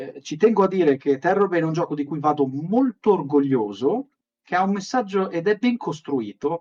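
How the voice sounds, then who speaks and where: A man talks in a high pitch, his intonation lively. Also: dry, close sound with no echo. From Italy. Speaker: game designer and studio co-founder. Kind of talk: interview. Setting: live stream. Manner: halting with repetitions.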